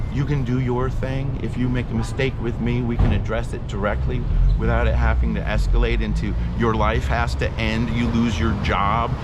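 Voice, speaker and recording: A man talks at a moderate pace while audible room echo and noticeable background noise fill the space. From Southern California. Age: 50s. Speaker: homeless man interviewed on the street. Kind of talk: street interview rant. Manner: animated.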